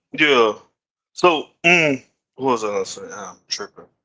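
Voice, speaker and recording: A man's medium-pitched voice with a Louisiana accent, bright and sharp in tone, at a moderate pace with ordinary pitch variation. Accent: US Southern, Louisiana. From Shreveport, Louisiana. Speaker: podcast host. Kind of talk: casual chat.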